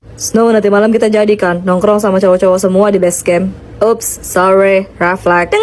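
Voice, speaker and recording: Over noticeable background noise, a woman speaks at a moderate pace with hardly any pauses. Her medium-pitched voice is monotone and flat, with very even loudness. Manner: not put on or faked.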